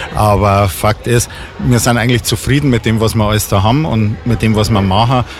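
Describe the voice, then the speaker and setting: A man talks at a moderate pace amid noticeable background noise. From Bavaria, Bad Tölz. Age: 50s. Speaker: venue owner and event organizer. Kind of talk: radio interview. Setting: on location in a bar.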